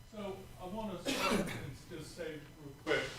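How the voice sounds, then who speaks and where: At a high pitch and a fairly slow pace, a man speaks through audible room echo and noticeable background noise. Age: 70s. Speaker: boating safety volunteer. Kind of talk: acceptance speech. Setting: council meeting at podium.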